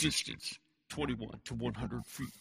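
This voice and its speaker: The man's voice is a put-on character voice. He talks at a fairly slow pace. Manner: hushed, conspiratorial.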